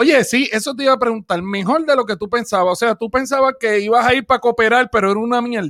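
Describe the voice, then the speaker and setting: A man's extremely high, bright, sharp, animated voice at a very fast pace, with ordinary pitch variation, in a dry, close sound with no echo. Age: 30s. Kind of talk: casual chat.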